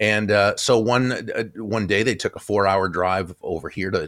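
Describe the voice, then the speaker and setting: With an American accent, a man talks at a fairly quick pace in an unremarkable speaking voice, fairly low in pitch with ordinary pitch variation. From US Northeast, Boston area. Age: 60s. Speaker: author and keynote speaker. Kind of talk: interview. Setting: video call.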